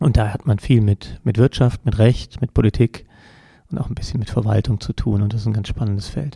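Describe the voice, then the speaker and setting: The man's voice is dark and mellow, somewhat breathy, at a medium pitch with ordinary pitch variation. He talks at a fairly quick pace in a dry, close sound with no echo. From Koblenz area, Rhineland-Palatinate, Germany. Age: 40s. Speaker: politician. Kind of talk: interview. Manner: hesitant with fillers.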